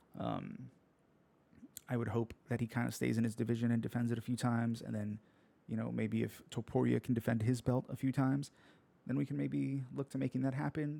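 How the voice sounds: Speaking at a fairly quick pace, a man has a croaky, dark, mellow tone with vocal fry and monotone, flat intonation. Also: medium pitch for a man.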